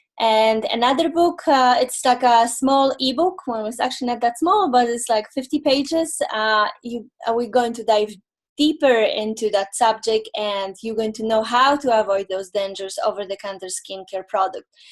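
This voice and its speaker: Speaking at a moderate pace with hardly any pauses, a woman with a Polish accent has a fairly high pitch and ordinary pitch variation. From Poland. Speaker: holistic nutrition consultant. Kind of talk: webinar presentation. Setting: online webinar. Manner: halting, many fillers.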